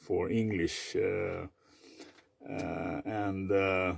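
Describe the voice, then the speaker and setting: A man with a Swedish accent. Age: 50s. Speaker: vlogger. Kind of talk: personal monologue. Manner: halting, many fillers; repetitive stuttering.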